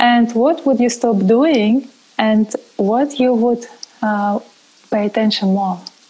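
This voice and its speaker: Against noticeable background noise, a woman with a non-native accent speaks at a very slow pace, with long, frequent pauses and ordinary pitch variation. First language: not English. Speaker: online talk host. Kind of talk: interview. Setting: live stream.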